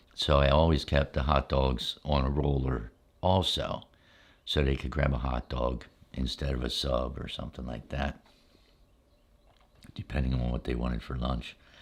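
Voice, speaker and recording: The pace is moderate and the intonation fairly even. Long, frequent pauses break up the speech. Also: man, very deep, low pitch for a man. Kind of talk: ASMR storytelling.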